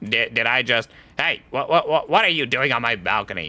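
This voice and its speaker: A man puts on a character voice at a medium pitch. He keeps a moderate pace. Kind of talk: comic mock-occult declamation. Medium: game stream. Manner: melodramatic, archaic phrasing.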